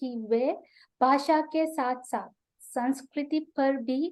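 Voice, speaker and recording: This woman has a high pitch and a dark, mellow tone, speaking with a Sri Lankan accent. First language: Sinhala (speaking Hindi). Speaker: Hindi researcher and YouTuber teaching Hindi. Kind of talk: web seminar talk. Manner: hesitant, frequent filler 'a'.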